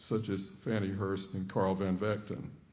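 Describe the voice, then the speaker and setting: Amid audible room echo, a man with a Southern accent talks at a moderate pace in a dark, mellow tone. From Georgia, US South (Atlanta). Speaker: professor. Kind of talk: lecture.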